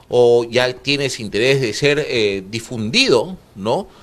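This man has a normal speaking voice, medium in pitch with ordinary pitch variation. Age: 40s. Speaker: TV host. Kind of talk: TV interview show.

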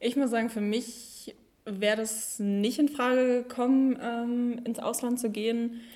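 A woman's high, monotone, flat voice at a fairly slow pace. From Germany, East Westphalia. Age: young. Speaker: federal volunteer service worker. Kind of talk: casual chat.

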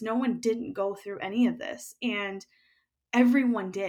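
At a moderate pace, a woman with an American accent and a plain, everyday voice speaks at a fairly high pitch with fairly even intonation. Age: 30s. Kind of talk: casual interview.

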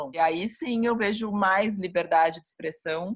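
The speech comes at a moderate pace, somewhat breathy, with ordinary pitch variation. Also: woman. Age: 30s. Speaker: music journalist. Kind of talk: interview.

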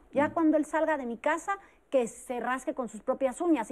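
The intonation is lively. A woman talks at a moderate pace. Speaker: psychologist. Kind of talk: panel discussion. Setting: studio.

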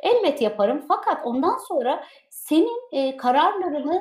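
With noticeable background noise behind her, a woman speaks at a high pitch with very wide pitch swings. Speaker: online show host. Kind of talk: interview.

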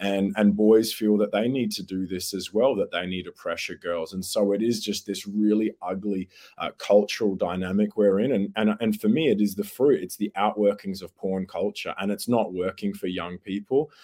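A man speaks at a moderate pace with fairly low pitch and fairly even intonation, his dark, mellow tone recorded with a dry, close sound and no echo. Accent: Australian. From Australia. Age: 30s. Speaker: youth advocate and educator. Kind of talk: serious interview discussion. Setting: video call.

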